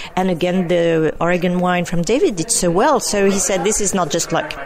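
Someone with a French accent talks at a fairly quick pace over noticeable background noise. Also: woman. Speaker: winemaker. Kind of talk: interview.

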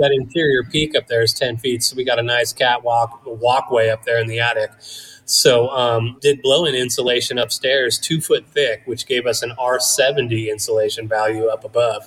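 A man with an American accent, an ordinary speaking voice, medium pitch, fairly even intonation and a moderate pace. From Northern California foothills (Placerville). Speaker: cannabis grower and business owner. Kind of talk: interview.

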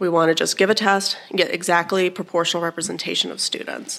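The woman's voice shows vocal fry. Her pace is fairly quick. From Alabama. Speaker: professor of educational studies, test author. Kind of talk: interview, casual explanation.

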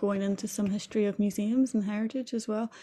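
In a Northern Irish accent, a woman talks at a medium pitch with fairly even intonation. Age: 20s. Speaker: podcast co-host, student. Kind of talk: casual chat.

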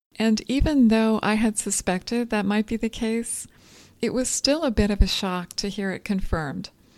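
The recording is very clean with a silent background. A woman with an ordinary speaking voice talks at a moderate pace in a fairly high pitch, with ordinary pitch variation. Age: 40s. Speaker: dietitian and podcast host. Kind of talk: solo educational podcast.

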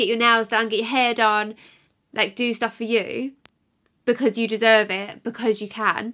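In an English accent, a woman talks at a moderate pace with fairly high pitch, a bright, sharp tone and monotone, flat intonation, captured in a very clean recording with a silent background. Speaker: podcast host and mum. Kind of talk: casual monologue. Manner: chatty, laughs often.

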